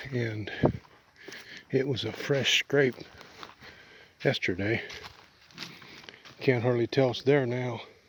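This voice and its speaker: Against noticeable background noise, a man speaks at medium pitch with fairly even intonation. His pace is very slow, with long, frequent pauses. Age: 60s. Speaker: outdoors vlogger and hunter. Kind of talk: casual vlog talk to camera. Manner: hesitant, filler-heavy.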